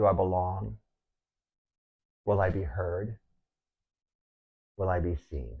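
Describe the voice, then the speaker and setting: With an American accent, a man with a very deep, low pitch speaks at a fairly slow pace, using ordinary pitch variation and long, frequent pauses. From Texas. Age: 60s. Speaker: painter, muralist. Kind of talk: documentary narration.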